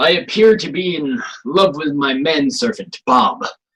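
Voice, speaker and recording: Using a put-on character voice, a man speaks high for his sex with very wide pitch swings. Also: moderate pace. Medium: stage play. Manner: sarcastic, haughty.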